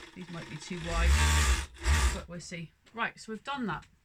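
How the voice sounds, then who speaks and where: A woman is heard over noticeable background noise. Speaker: sewing fabric shop owner. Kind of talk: tutorial. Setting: home sewing room. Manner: loud; casual.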